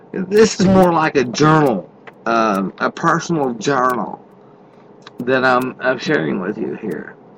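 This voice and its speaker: With noticeable background noise around him, a man talks fairly slowly. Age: 50s. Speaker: truck driver podcaster. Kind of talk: casual monologue. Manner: halting, many fillers; unscripted off the cuff.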